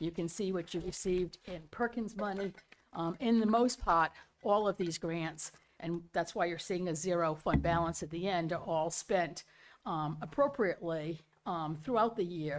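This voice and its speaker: A woman with a plain, everyday voice speaks at a fairly low pitch and moderate pace. Her pitch varies in an ordinary way. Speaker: auditor. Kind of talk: report presentation. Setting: school committee meeting.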